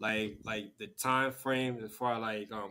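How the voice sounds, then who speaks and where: Bright and sharp in tone, a man with a Liberian accent speaks with ordinary pitch variation. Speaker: talk show host. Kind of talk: interview.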